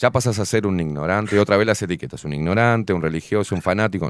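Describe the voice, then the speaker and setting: Fairly low in pitch, a man talks at a fairly quick pace with lively intonation. It is an ordinary speaking voice. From Uruguay and Buenos Aires. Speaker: show host. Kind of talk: casual interview. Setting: studio.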